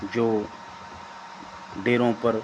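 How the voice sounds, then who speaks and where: This man's medium-pitched voice stays monotone and flat, with noticeable background noise behind it. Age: 60s. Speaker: spiritual storyteller. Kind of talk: religious discourse.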